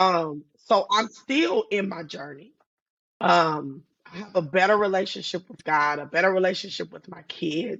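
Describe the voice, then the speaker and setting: A medium-pitched woman at a fairly slow pace, with ordinary pitch variation and big swings in loudness. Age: 50s. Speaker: author and guest sharing personal story. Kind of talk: casual interview, personal testimony. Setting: video podcast. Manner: naturally loud; animated.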